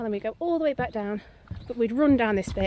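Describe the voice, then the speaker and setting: The woman's fairly high voice rushes along at a very fast pace. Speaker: vlogger. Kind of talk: casual vlog walk-and-talk. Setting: outdoors.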